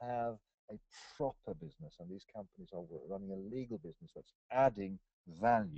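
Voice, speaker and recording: A man with a fairly low-pitched voice speaks with lively intonation. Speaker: company executive. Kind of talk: webinar presentation. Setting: webinar call. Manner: hesitant, many fillers; loud. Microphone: microphone problems, sounds too quiet.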